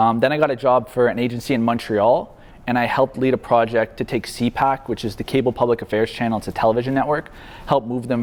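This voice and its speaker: A man talking very fast with fairly even intonation, over noticeable background noise. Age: 20s. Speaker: marketing agency founder. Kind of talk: guest talk to university class. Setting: university classroom. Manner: casual.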